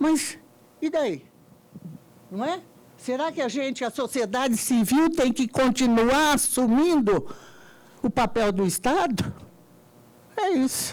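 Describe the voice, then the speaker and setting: A woman with a high pitch and lively intonation speaks very slowly, leaving long, frequent pauses. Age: 70s. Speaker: party foundation member, audience participant. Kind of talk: debate floor remark. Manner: emphatic.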